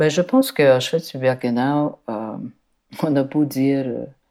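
A woman speaks with a very deep, low pitch and a dark, mellow tone. Her pitch variation is ordinary, and the recording is very clean, with a silent background. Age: 60s. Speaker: documentary filmmaker. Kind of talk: interview.

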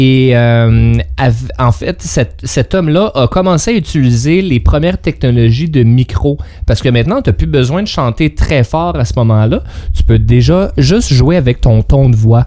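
With noticeable background noise behind him, a man speaks at a fairly slow pace and medium pitch, his loudness very even and his intonation lively. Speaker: radio co-host. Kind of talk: casual radio chat.

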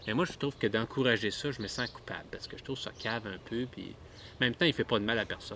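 Talking at a very fast pace with a Quebec accent, a man has a medium pitch, a bright, sharp tone, ordinary pitch variation and big swings in loudness. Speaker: podcast co-host. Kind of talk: casual chat.

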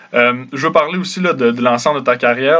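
Here is a man with an unremarkable speaking voice, medium in pitch and fairly quick in pace. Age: 20s. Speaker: podcast host. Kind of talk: interview.

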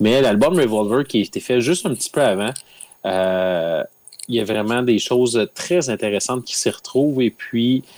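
A normal speaking voice from a man at a moderate pace, with ordinary pitch variation, a very clean recording, a silent background and a dry, close sound with no echo. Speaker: podcast guest, music fan. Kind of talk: casual chat.

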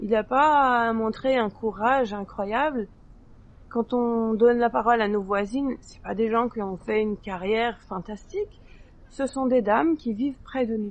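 A woman's fairly high voice at a fairly slow pace, with ordinary pitch variation and big swings in loudness. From France. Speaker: circus and theatre artist. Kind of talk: podcast interview testimony. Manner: hesitant, many fillers.

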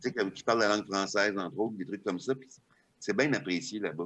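Speaking in a normal speaking voice, a man sits at a fairly low pitch and shows ordinary pitch variation. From Quebec, small village. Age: 50s. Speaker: stand-up comedian and comedy writer. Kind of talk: casual interview chat.

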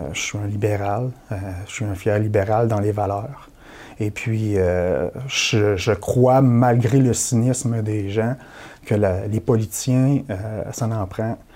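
Very slow delivery with fairly even intonation. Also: man, fairly low pitch for a man. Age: 40s. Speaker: election candidate. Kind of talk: political interview.

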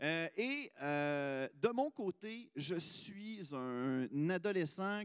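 Speaking with a Quebec accent, a man has a high pitch and lively intonation, captured as a dry, close sound with no echo on a very clean recording with a silent background. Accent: Québécois French. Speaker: podcast host. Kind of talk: live podcast chat.

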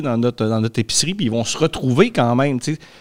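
Recorded dry and close with no echo, a man talks at a very fast pace. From Lac-Saint-Jean region, Quebec. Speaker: engaged citizen, history teacher. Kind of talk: casual chat.

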